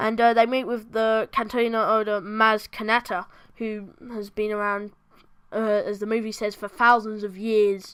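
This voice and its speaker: On a very clean recording with a silent background, a bored tone comes through at a moderate pace with monotone, flat intonation. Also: woman. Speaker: film review youtuber. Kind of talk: casual film review monologue. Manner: halting, many fillers and self-corrections; sounds bored.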